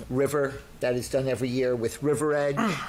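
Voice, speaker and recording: Noticeable background noise sits beneath a man talking at a medium pitch. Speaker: town board member giving a report. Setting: public meeting, microphone. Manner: hesitant, many fillers.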